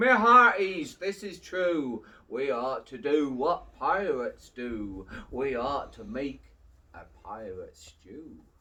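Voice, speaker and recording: Putting on a character voice, a man speaks very slowly at a fairly high pitch with very wide pitch swings. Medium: read story. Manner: hearty.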